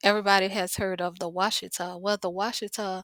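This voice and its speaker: In a New Orleans accent, the speaker keeps a flat, monotone delivery, recorded very cleanly against a silent background with a dry, close sound and no echo. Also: woman. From New Orleans, Louisiana. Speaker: spiritual teacher. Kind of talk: casual talk to camera.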